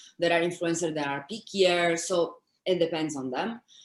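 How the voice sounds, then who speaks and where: Moderate-paced speech in an Italian accent. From Italy. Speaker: influencer manager and content creator. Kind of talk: interview.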